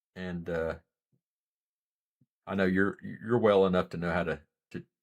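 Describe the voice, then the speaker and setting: With an American accent, a man speaks at a moderate pace with a very deep, low pitch and fairly even intonation. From US South, western North Carolina mountains. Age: 40s. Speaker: live streamer, former Marine. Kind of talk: live stream chat. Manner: soft-spoken; casual, halting.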